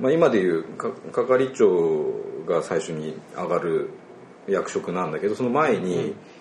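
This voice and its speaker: A man talking at a fairly slow pace over noticeable background noise. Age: 40s. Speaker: agricultural cooperative staff. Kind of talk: casual chat.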